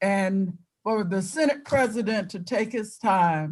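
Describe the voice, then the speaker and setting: A woman speaks at a very slow pace. Her voice is somewhat breathy, with ordinary pitch variation. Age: 80s+. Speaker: politician. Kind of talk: speech.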